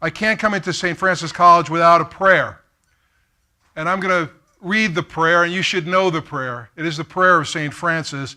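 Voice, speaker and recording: A man with a New York accent speaks at a high pitch in a bright, sharp tone, keeping a moderate pace and fairly even intonation. The recording is very clean, with a silent background. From Brooklyn, New York. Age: 50s. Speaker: keynote speaker. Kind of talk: keynote speech. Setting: stage with audience.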